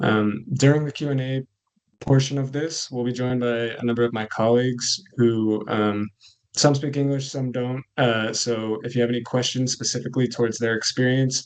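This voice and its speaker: Flat and monotone, a man with a Californian accent speaks at a moderate pace and medium pitch. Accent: American (Californian). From California, US. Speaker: coffee cooperative manager. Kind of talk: webinar presentation.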